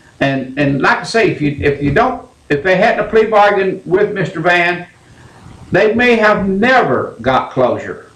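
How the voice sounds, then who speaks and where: A man with an American accent speaks with very wide pitch swings. Audible room echo surrounds his voice. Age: 70s. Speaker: radio call-in show host. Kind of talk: call-in radio talk.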